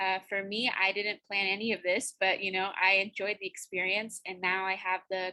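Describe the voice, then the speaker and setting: A woman with a Spanish accent speaks at a moderate pace and medium pitch, her bright, sharp tone set in flat, monotone intonation. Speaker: university student. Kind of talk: student presentation on video call. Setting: video call.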